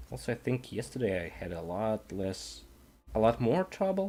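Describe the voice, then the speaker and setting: In a non-native accent, a dark, mellow voice moves at a moderate pace with very wide pitch swings. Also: man. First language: not English. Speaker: digital artist streamer. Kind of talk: casual live-stream commentary while painting. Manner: halting, thinking aloud.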